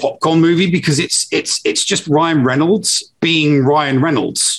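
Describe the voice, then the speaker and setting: In a Cockney accent, a man speaks fairly slowly at a high pitch. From England. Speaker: podcast co-host. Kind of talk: casual chat. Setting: live stream recording.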